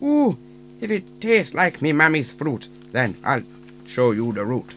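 A man uses a put-on character voice at a fairly high pitch and a moderate pace. Clear background noise is present. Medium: audio drama.

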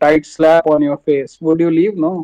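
The man's voice has a dark, mellow tone and a fairly high pitch. He speaks at a moderate pace. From India, Jammu. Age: 30s. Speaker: bank clerk. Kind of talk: casual chat. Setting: video call with stranger on website. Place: home room. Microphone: video call.

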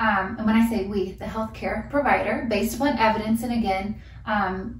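With fairly even intonation, a woman speaks at a moderate pace against a quiet background with audible room echo. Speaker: nurse educator. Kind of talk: lecture. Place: home room. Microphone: camera far.

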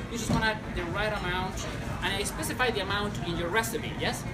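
A man with a Chilean accent at a moderate pace, amid loud background noise. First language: Spanish. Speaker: sommelier. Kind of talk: cocktail-making tutorial. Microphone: lapel.

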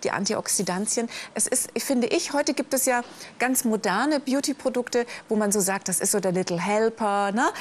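A woman speaks in an ordinary speaking voice at a fairly high pitch and a moderate pace. Her pitch variation is ordinary, over light background noise. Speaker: teleshopping presenter; presenter. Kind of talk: sales pitch. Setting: live TV shopping studio. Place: studio.

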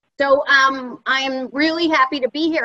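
The woman's voice sits high in pitch. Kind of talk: panel remarks. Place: home room. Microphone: video call.

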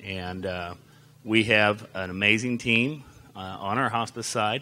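His tone is bright and sharp. A man with fairly low pitch and ordinary pitch variation. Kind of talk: public presentation. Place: hall. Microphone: handheld.

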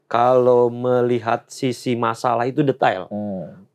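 A man with fairly even intonation over a quiet background. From Banten, Lebak regency (fishing village); Banten, Indonesia. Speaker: political staffer, former journalist; former journalist. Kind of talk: interview. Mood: calm, relaxed. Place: studio.

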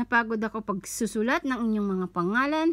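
Against a quiet background, a woman speaks at a moderate pace. Her intonation is lively. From Philippines. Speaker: online content creator running a giveaway. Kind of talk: casual livestream-style giveaway announcement. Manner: casual, chatty, joking, self-correcting. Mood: cheerful, thankful, festive. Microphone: phone near.

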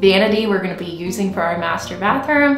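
Music plays clearly behind a woman whose pitch varies in an ordinary way. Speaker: home renovation vlogger. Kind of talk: casual vlog chat. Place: bathroom. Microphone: phone near.

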